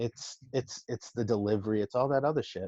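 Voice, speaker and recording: In a Massachusetts accent, a man with a dark, mellow tone talks at a moderate pace and medium pitch. The recording is dry and close with no echo and a quiet background. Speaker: entrepreneur and food influencer. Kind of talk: casual chat. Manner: halting, many repeats and fillers.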